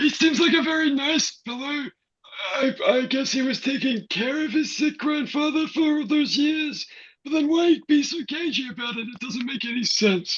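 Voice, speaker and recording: A moderate pace carries this put-on character voice. Its pitch sits high. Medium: stage play. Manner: hesitant, musing.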